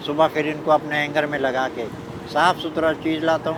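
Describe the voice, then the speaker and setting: A man speaks at a fairly high pitch. Noticeable background noise sits behind him. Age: 70s. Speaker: street snack seller. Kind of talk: interview answer.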